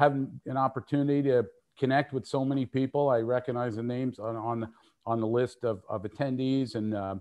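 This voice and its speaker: A man with a medium-pitched voice talks at a fairly quick pace. His intonation stays fairly even. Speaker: RF technician and frequency coordinator, webinar presenter. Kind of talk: technical webinar presentation. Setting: live online webinar. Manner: fast.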